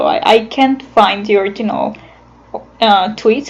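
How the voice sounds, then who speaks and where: Over noticeable background noise, a woman with a non-native accent talks at a fairly slow pace in a fairly high pitch with ordinary pitch variation. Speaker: animator. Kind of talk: casual talk about own animation process. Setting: recorded on computer without a microphone. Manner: hesitant, many fillers.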